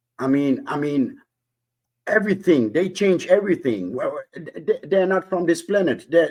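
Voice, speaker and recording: A man with a non-native accent talks at a moderate pace. His high pitch moves in lively intonation. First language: not English. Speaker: panelist on discussion show. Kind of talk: casual group discussion. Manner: halting, many repetitions and fillers.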